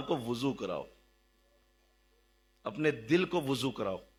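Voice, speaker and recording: A man's voice with a bright, sharp tone. His pitch swings very widely. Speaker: religious teacher. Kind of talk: sermon.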